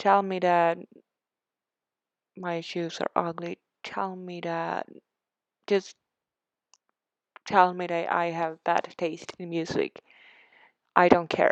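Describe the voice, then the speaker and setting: A woman with a Swedish accent at a fairly low pitch, a very slow pace with long, frequent pauses, monotone, flat intonation, and a dry, close sound with no echo. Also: big swings in loudness. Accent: Swedish accent, self-conscious about it. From Sweden. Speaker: Sims building YouTuber. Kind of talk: casual chat over a speed build video. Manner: hesitant, many fillers and restarts.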